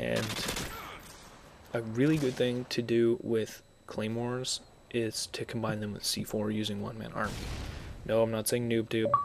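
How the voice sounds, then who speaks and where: Monotone, flat intonation at a moderate pace, with long, frequent pauses and noticeable background noise. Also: man, medium pitch for a man. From Scotland. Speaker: gameplay commentator. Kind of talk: live game commentary. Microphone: mono mic, a bit tinny.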